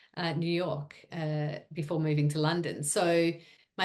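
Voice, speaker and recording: A woman speaks with very deep, low pitch and a slight Australian accent. Her intonation stays fairly even. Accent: Australian accent, she thinks it slight. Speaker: sports media executive. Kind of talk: interview.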